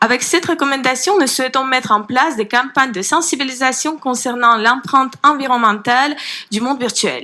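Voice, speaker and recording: A woman with a Ukrainian accent talks in a raised, projected voice at a high pitch. Her pace is fairly quick, with ordinary pitch variation. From Ukraine. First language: Ukrainian (speaking French). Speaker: citizens' panel member. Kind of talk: formal presentation. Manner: hesitant, with fillers.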